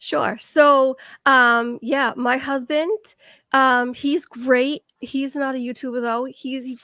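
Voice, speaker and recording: A woman with a Boston accent speaks in a high voice with a bright, sharp tone. The recording is very clean, with a silent background. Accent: thick Boston. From Boston area, Massachusetts. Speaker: YouTuber, guest. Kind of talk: casual chat. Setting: live stream.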